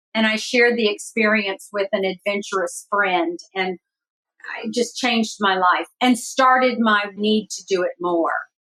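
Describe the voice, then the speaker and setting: The recording is dry and close with no echo. A woman with a plain, everyday voice speaks fairly slowly at a fairly high pitch with ordinary pitch variation. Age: 60s. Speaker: adventure traveler. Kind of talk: interview.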